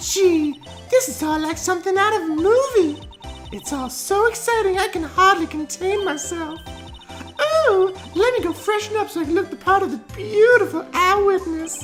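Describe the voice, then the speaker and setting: An extremely high, put-on character voice speaks in a theatrical tone at a moderate pace. Clear music plays in the background. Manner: gushing, theatrical.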